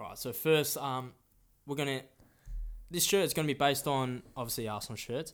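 A man at a fairly high pitch and fairly quick pace, on a very clean recording with a silent background. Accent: Australian. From Australia, Melbourne. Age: 20s. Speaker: podcast co-host, football shirt collector. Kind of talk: casual chat. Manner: halting.

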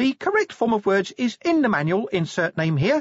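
This is a put-on character voice with a fairly high pitch and very wide pitch swings. It moves at a moderate pace. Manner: prim, prissy.

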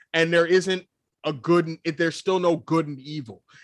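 A man speaks in an ordinary speaking voice, fairly high in pitch, with ordinary pitch variation at a moderate pace. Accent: American. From New York, US. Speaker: podcast co-host. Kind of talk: casual chat. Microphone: new microphone instead of camera mic.

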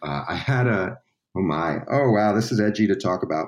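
This man has an American accent and a fairly low pitch. He talks at a moderate pace. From Staten Island, New York. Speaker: musician. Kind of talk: casual chat. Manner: halting.

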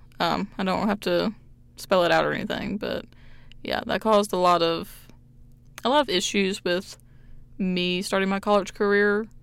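In a very clean recording with a silent background, a woman speaks at a moderate pace and medium pitch, her fairly even intonation interrupted by long, frequent pauses. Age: 20s. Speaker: podcast host and college student. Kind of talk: casual solo monologue. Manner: rambling with frequent fillers.

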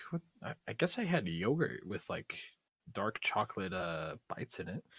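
Recorded very cleanly against a silent background, a man speaks in a somewhat breathy voice at a fairly high pitch, the sound dry and close with no echo. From Guam. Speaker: podcast co-host and video creator. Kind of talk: casual chat.

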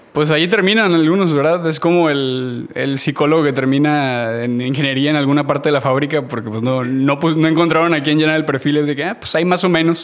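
Noticeable background noise behind a man at a fairly quick pace, with ordinary pitch variation. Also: fairly high pitch for a man, hardly any pauses. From Mexico, Matamoros, Tamaulipas. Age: 30s. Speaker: graphic designer. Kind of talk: casual interview.

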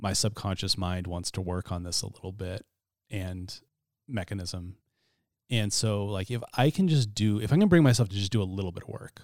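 A man with an American accent speaks in a plain, everyday voice at a moderate pace, fairly low in pitch with ordinary pitch variation, in a very clean recording with a silent background. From US Pacific Northwest, Spokane County, Washington. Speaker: writer and podcast host. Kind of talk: casual interview.

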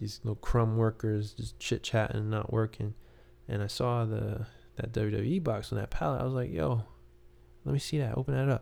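A man speaks at a fairly quick pace. His tone is dark and mellow. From New York, Queens. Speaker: podcast host and musician. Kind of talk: casual monologue.

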